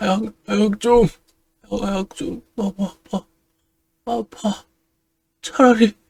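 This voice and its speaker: A put-on character voice, female-sounding, hoarse and fairly high-pitched, at a very slow pace with long, frequent pauses. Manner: pleading, pained.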